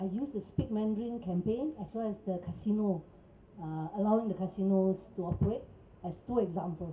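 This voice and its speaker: A woman talks at a moderate pace with a Cantonese accent. Her pitch sits in the middle range and varies in an ordinary way. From Singapore. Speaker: protest speaker. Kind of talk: press conference. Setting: press conference. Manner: animated.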